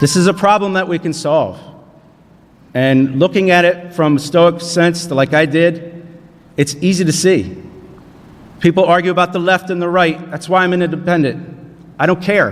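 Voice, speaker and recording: Speaking with an American accent at a high pitch, a man keeps a moderate pace, with fairly even intonation and long, frequent pauses. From southern New Jersey. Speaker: panelist, independent congressional candidate. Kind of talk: panel forum speech.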